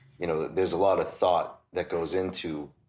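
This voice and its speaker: A man speaks with a Boston accent. His pace is moderate. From Massachusetts, south of Boston. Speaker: record store owner. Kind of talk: casual interview.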